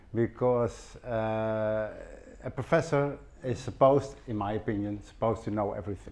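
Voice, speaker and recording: A man with a Dutch accent speaks at a moderate pace with ordinary pitch variation. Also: medium pitch for a man. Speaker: professor. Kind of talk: conference presentation.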